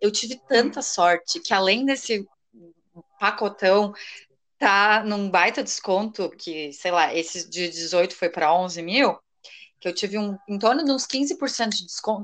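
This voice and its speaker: A woman speaks at a fairly slow pace. Behind her the background is quiet. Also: medium pitch for a woman, lively intonation. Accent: southern Brazilian. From Rio Grande do Sul, Brazil. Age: 20s. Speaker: law graduate, would-be exchange student. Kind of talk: casual interview chat.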